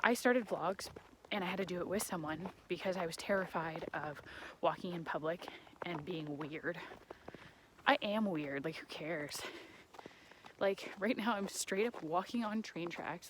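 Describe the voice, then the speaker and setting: Over noticeable background noise, a woman speaks in an animated tone with ordinary pitch variation. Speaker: vlogger. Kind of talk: casual vlog monologue. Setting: outdoors walking on train tracks. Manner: rambling tangents, animated. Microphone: muffled.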